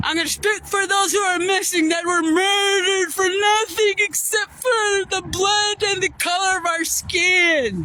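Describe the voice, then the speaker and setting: A woman raises and projects her extremely high-pitched voice, speaking at a fairly slow pace with fairly even intonation and an American accent. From Yakama reservation, Toppenish, Washington. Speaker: vlogger. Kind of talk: testimony. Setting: outdoors by a river. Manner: forceful.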